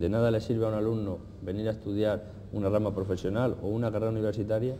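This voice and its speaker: Against light background noise, a man with a dark, mellow tone and fairly low pitch talks at a fairly quick pace. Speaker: cooking teacher. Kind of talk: interview. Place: cafe. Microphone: lapel.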